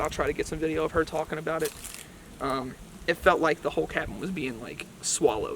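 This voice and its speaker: Noticeable background noise is present throughout. A man talks at a fairly quick pace. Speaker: paranormal investigator, video creator. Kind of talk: casual vlog narration.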